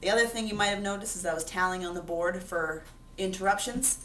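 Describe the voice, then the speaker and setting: This is a woman speaking. Room echo is audible around her voice. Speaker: sixth grade teacher. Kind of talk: self-reflection monologue to camera.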